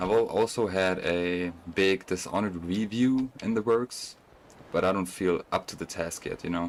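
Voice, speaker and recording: A man with a German accent, very deep and low in pitch, his intonation fairly even. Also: moderate pace. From Germany. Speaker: gaming streamer. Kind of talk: casual chat. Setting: live stream while gaming. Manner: casual, halting with self-corrections.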